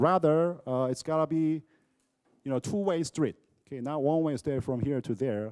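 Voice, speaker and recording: A man with a Korean accent talks at a moderate pace in a fairly high pitch, his loudness swinging widely against a quiet background. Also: ordinary pitch variation. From South Korea, Seoul. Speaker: professor. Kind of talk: lecture. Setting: lecture hall with audience. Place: classroom. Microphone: handheld.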